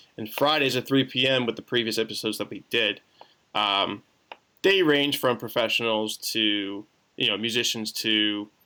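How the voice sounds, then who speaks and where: Medium in pitch, this man's voice has a bright, sharp tone. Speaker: podcast host. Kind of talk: casual chat. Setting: video call.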